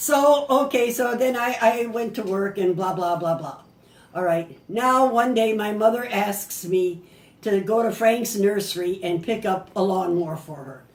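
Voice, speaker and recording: With an American accent, a woman speaks at a fairly slow pace in an animated tone with lively intonation, amid noticeable background noise and audible room echo. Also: medium pitch for a woman, big swings in loudness. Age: 80s+. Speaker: grandmother telling family stories. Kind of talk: casual storytelling at family party. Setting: family birthday party.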